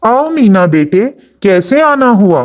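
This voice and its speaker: A cartoonish character voice, fairly high in pitch, with very wide pitch swings. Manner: gentle, fatherly.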